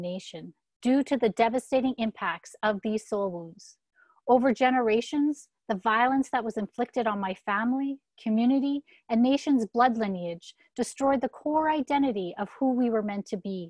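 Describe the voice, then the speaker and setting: Against a quiet background, a woman speaks at a moderate pace and a fairly high pitch with ordinary pitch variation, in a dry, close sound with no echo. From Saskatchewan, Canada (First Nations). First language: Saulteaux. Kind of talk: reading aloud. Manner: formal.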